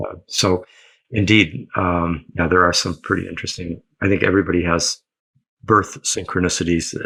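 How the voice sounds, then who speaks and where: With a bright, sharp tone, a man speaks at a moderate pace in a very deep, low pitch and fairly even intonation, recorded very cleanly against a silent background. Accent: American. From Michigan, US Midwest. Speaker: historian and astrologer. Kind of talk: interview. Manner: halting, many fillers.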